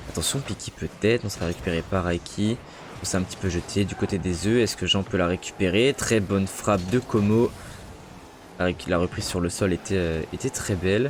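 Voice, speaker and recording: A man with a very deep, low voice speaks at a fairly quick pace. His pitch varies in an ordinary way. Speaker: esports caster and streamer. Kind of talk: live commentary. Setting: live stream. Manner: animated.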